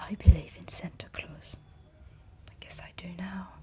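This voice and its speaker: The words come in a whisper, very slowly. Background noise is clearly audible. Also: woman. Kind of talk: ASMR whispering video. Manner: whispering, soft.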